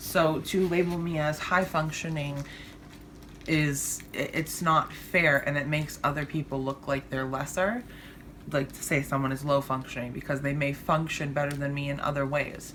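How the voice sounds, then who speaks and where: A woman's very deep, low voice with fairly even intonation. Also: moderate pace. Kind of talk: personal vlog monologue. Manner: stumbles over words, slurs; hesitant, many fillers.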